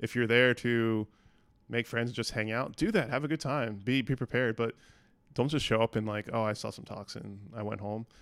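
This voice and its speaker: The recording is very clean and silent behind him, with a dry, close sound and no echo. A man speaks in an unremarkable speaking voice at medium pitch, his intonation fairly even. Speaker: podcast host, engineering manager. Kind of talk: casual chat.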